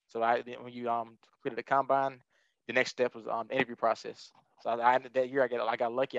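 A man's medium-pitched, monotone, flat delivery at a very fast pace, with a Southern US accent and a dry, close sound with no echo. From Alabama, Tuscaloosa. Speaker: brand manager and former esports player. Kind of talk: interview.

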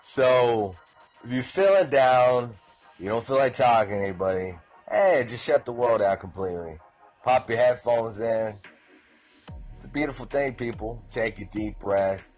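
Backed by music, a man with a Southern US accent and medium pitch speaks in an upbeat tone with lively intonation. His pace is fairly slow, with long, frequent pauses and big swings in loudness. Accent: southern twang. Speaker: podcast host. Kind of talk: casual, slangy, some profanity. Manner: casual, rambling, upbeat.

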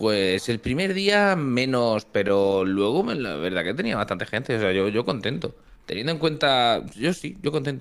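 Hardly pausing at all, a man talks at a fairly slow pace with very wide pitch swings. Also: medium pitch for a man. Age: 20s. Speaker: streamer. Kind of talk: casual chat.

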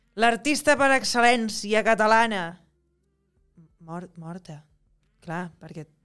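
Music plays behind a woman who speaks at a fairly slow pace with lively intonation and long, frequent pauses. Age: 30s. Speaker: actress. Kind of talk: casual interview chat.

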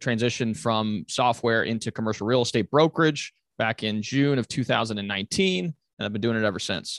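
An ordinary speaking voice moves at a fairly quick pace with ordinary pitch variation. The recording is very clean, with a silent background and a dry, close sound with no echo. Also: man, medium pitch for a man. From Europe (Italy, Germany, Belgium), moved to US at 14. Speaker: commercial real estate agent. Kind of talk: podcast interview.

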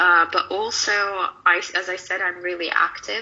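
With a Russian accent, a woman is talking. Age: 20s. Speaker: online fitness coach and student. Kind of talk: interview.

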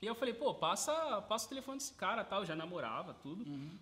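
Against noticeable background noise, a man speaks at an extremely high pitch with very wide pitch swings. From Brazil, Sorocaba (São Paulo state). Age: 20s. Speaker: burger restaurant owner, entrepreneur. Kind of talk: casual interview.

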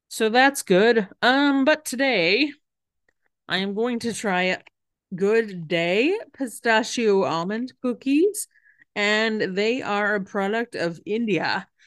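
A woman speaks very slowly in a Canadian accent, her pitch fairly high and her intonation lively. The background is quiet. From Western Canada. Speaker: podcast host. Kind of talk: casual solo podcast chat. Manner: hesitant, many fillers.

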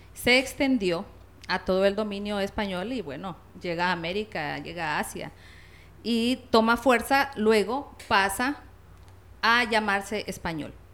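A woman's plain, everyday voice at a medium pitch, fairly slow, with ordinary pitch variation. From La Paz, Honduras. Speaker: linguist and Spanish teacher. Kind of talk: interview.

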